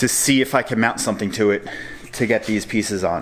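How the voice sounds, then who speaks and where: A man speaks at a fairly quick pace. His fairly low pitch holds a fairly even intonation. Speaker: car DIY youtuber. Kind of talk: casual DIY tutorial narration. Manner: loud.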